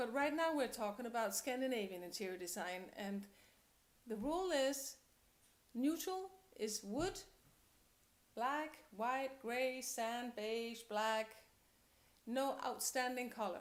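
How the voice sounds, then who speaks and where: At a very slow pace with long, frequent pauses, a woman speaks in a Danish accent, her high pitch carrying lively intonation. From Denmark. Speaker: interior designer and coach. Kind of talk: tutorial. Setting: at home.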